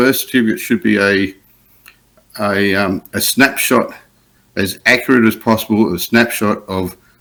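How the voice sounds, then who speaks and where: With long, frequent pauses, a man speaks in an Australian accent on a very clean recording with a silent background. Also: fairly low pitch for a man, ordinary pitch variation, moderate pace. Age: 60s. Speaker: adoptee advocate. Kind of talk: interview testimony. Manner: halting.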